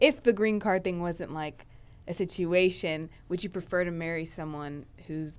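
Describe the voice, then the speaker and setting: With a plain, everyday voice, a woman speaks with ordinary pitch variation. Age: young adult. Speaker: podcast host. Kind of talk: casual interview chat.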